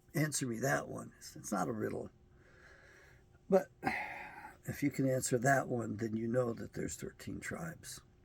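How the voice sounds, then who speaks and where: A man's medium-pitched American-accented voice with vocal fry, very wide pitch swings, big swings in loudness, a moderate pace and long, frequent pauses. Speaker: self-published bible editor and commentator. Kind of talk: video monologue.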